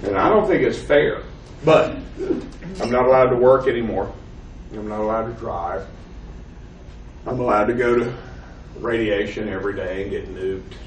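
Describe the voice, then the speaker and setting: A man with a Southern US accent talks at a fairly quick pace. He leaves long, frequent pauses, and room echo is audible. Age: 50s. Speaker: professor. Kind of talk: lecture. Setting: classroom.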